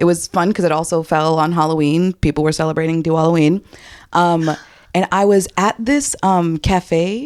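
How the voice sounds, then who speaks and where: In a very clean recording with a silent background and a dry, close sound with no echo, a woman with a New York accent talks at a moderate pace and a fairly low pitch, with ordinary pitch variation and very even loudness. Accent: New York City. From New York City, Southeast Queens. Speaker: podcast co-host, comedian. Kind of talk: casual chat.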